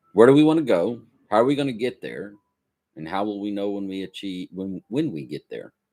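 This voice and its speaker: Very wide pitch swings in a man's fairly low voice, with music in the background. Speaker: graduate student studying on stream. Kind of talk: study session, reading aloud and commenting.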